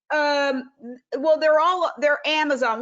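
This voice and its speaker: A woman is speaking. Her pace is fairly quick. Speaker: vegan activist and online journalist. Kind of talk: panel talk.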